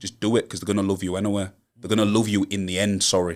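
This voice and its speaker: On a very clean recording with a silent background, a man with a Yorkshire accent speaks very fast at a fairly low pitch. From Hull, East Yorkshire. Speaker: rapper. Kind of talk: podcast interview. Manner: animated.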